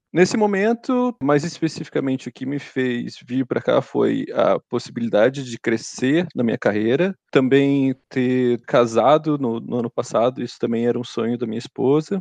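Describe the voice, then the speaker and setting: The sound is dry and close, with no echo. A man talks at a moderate pace and medium pitch with ordinary pitch variation and hardly any pauses. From Brazil. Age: 30s. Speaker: engineer. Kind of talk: casual interview. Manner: halting, repeats words.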